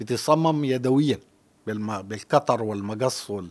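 At a moderate pace, a man with a medium-pitched voice swings his pitch very widely. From Sudan. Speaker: journalist and publisher; podcast guest, journalist. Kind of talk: interview. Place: studio. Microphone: studio mic.

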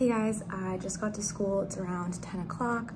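Noticeable background noise sits behind a woman who speaks at a moderate pace. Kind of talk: casual vlog chat. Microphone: phone near.

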